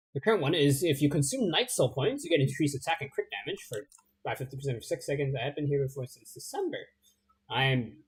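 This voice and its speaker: Talking at a very fast pace, a man with a fairly high pitch sounds somewhat breathy, showing ordinary pitch variation and big swings in loudness. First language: not English. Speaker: video game streamer. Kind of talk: gameplay livestream commentary. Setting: livestream. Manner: hesitant, many fillers.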